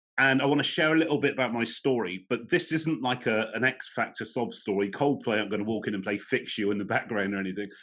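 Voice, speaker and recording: Over a quiet background, a man with an English accent talks very fast at a medium pitch with ordinary pitch variation. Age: 40s. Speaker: motivational speaker on mental health. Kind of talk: webinar talk. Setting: online webinar.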